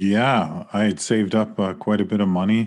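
With a Canadian accent and an unremarkable speaking voice, a man speaks at a moderate pace in a fairly low pitch, with fairly even intonation against a quiet background. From Saskatchewan, Canada. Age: 40s. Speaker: author and professor. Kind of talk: interview.

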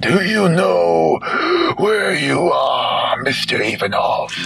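Over clear background noise, a man uses a hoarse, put-on character voice. He speaks at a very slow pace. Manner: questioning, grim.

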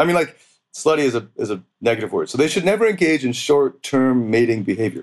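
In a plain, everyday voice, a man talks at a fairly quick pace. His fairly high pitch moves with lively intonation. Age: 30s. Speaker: dating coach. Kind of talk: casual interview.

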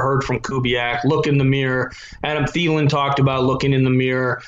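With an Upper Midwest accent, a man talks at a very fast pace in a fairly high pitch with fairly even intonation, over noticeable background noise and audible room echo. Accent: Upper Midwest (Minnesota). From southern Minnesota. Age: 30s. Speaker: sports radio producer. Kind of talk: casual chat. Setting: remote call from his basement.

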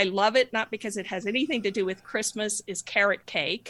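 A woman with an American accent speaks in a bright, sharp tone with ordinary pitch variation, the sound dry and close with no echo. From US, New Mexico. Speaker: fair trade business founder. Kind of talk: interview.

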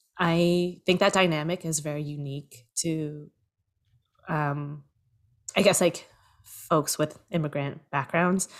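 Over a very clean, silent background, a woman with a Canadian accent speaks very slowly in a very deep, low voice, with fairly even intonation and long, frequent pauses. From Canada, Toronto. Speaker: producer and screenwriter. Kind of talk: interview.

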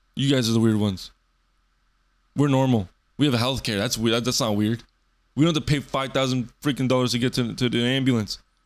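An animated tone comes at a fairly quick pace, broken by long, frequent pauses, with very even loudness. The recording is very clean, with a silent background. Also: man, medium pitch for a man. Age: 20s. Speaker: podcaster. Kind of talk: casual solo rant. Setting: home bedroom.

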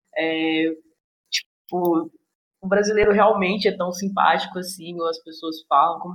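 In a normal speaking voice, a woman talks at a moderate pace. Her pitch is fairly low and her intonation fairly even. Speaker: podcast host. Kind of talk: casual chat.

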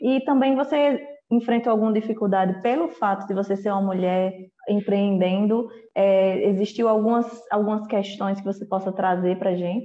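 A woman speaks in a plain, everyday voice at medium pitch and moderate pace, with fairly even intonation and very even loudness. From Brazil, Ceará. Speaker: journalist and podcast host. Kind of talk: interview.

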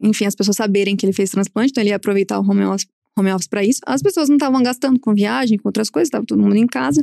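The voice races at a very fast pace with lively intonation and a dark, mellow tone, in a dry, close sound with no echo. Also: woman, medium pitch for a woman. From southern Minas Gerais, Brazil (Alfenas). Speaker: plastic surgeon. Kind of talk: casual interview chat.

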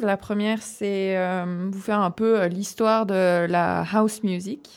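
This woman's voice sits at a medium pitch. The background is silent and the recording very clean. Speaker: radio music columnist. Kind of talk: reading a prepared segment aloud. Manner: stumbling reading.

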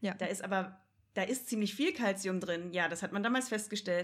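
At a moderate pace, a woman talks in a somewhat breathy voice with ordinary pitch variation. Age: 20s. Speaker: vegan animal rights activist. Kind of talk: casual chat.

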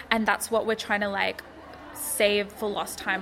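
A woman with an Australian accent and medium pitch, noticeable background noise behind her. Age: 20s. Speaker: publication co-founder. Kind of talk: interview.

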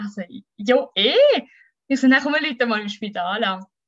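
A woman's moderately paced speech with ordinary pitch variation. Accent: Swiss. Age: 30s. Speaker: mother telling her birth story. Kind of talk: testimony.

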